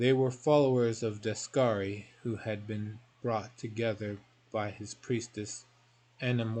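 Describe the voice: With fairly even intonation, the speaker is doing plain reading aloud.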